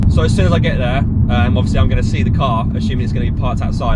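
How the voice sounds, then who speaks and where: A man with a British accent, over noticeable background noise. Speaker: car vlogger. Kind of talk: casual vlog talk to camera. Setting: in a car. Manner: loud.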